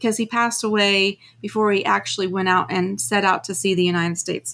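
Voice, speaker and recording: With a plain, everyday voice, a woman speaks at a medium pitch with ordinary pitch variation, recorded very cleanly against a silent background. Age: 50s. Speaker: full-time RVer and YouTuber. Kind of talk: casual interview.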